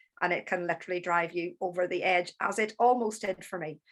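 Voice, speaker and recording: In a Northern Irish accent, a woman speaks at a fairly quick pace against a quiet background. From Northern Ireland. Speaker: therapist and business coach. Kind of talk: talk.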